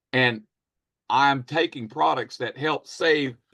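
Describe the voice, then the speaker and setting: Speaking at a very slow pace, a man with a fairly high voice shows ordinary pitch variation and vocal fry. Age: 60s. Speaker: network marketing presenter. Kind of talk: sales pitch. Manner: animated.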